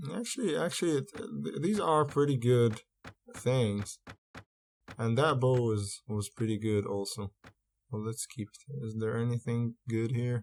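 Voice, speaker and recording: A man's very slow, medium-pitched speech with a non-native accent, dry and close with no echo. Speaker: gaming video creator. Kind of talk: gameplay commentary. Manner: hesitant, many fillers and repeats.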